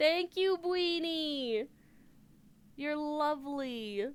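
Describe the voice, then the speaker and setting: A woman speaks in an animated tone with ordinary pitch variation. Her speech has long, frequent pauses. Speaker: video game streamer. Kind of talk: casual live stream chat with viewers.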